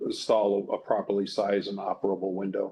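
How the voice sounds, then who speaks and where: Speaking fairly quickly, a man with an ordinary speaking voice keeps a fairly low pitch. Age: 60s. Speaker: review board member. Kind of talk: public hearing. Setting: hearing room, video conference.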